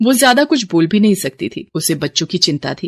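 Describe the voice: A woman's slightly mellow tone carries big pitch swings in a very clean recording with a silent background and a dry, close sound with no echo.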